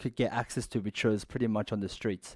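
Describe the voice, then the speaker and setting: A dark, mellow tone comes through with an Australian accent on a very clean recording with a silent background. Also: man. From Western Sydney, Australia. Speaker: former prisoner, fitness business owner. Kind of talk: interview storytelling.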